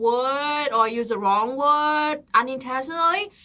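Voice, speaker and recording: A woman with a non-native accent speaks in a raised, projected voice at a high pitch. Her tone is bright and sharp, with ordinary pitch variation. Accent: non-native speaker. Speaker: political livestream co-host. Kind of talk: casual livestream chat.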